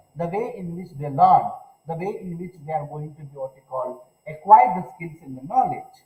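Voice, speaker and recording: The speaker keeps a moderate pace with lively intonation. Audible room echo surrounds the voice. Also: man. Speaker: university lecturer. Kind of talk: online lecture. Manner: louder than usual; halting with fillers.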